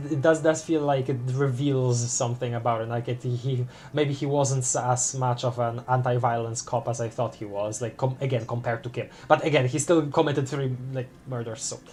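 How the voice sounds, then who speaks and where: Moderately paced speech comes through. It carries a non-native accent. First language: not English. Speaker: gaming streamer. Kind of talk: casual chat. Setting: live stream. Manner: halting.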